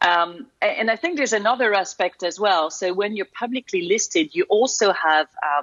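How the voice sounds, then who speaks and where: A woman with a French accent talks with very wide pitch swings and hardly any pauses. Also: medium pitch for a woman, moderate pace. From France. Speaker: corporate security executive. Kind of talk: interview.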